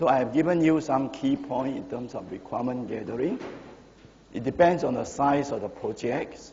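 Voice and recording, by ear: A man talks at a moderate pace with lively intonation and a medium pitch. His slightly mellow voice carries vocal fry, and the room echo is audible.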